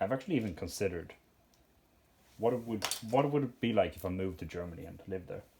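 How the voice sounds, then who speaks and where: Someone with a Swedish accent speaks at a very fast pace. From Sweden. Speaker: Lego hobbyist YouTuber. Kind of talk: casual chat while sorting. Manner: halting, many fillers.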